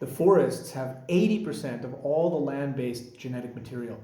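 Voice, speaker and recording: A man with a Canadian accent, medium pitch, an animated tone and a moderate pace, with audible room echo. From British Columbia, Canada. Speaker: environmental activist. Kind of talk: personal monologue.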